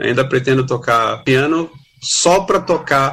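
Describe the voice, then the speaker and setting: A man speaks in a plain, everyday voice. His pitch sits in the medium range and varies in an ordinary way. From Brazil, Santos (São Paulo coast). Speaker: music critic and journalist. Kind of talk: pre-recorded segment talk.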